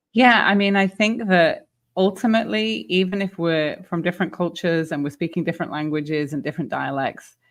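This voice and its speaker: Speaking with a British accent at a fairly quick pace with hardly any pauses, a woman uses lively intonation at a fairly low pitch on a very clean recording with a silent background. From England. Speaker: retail leadership expert and author. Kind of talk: interview.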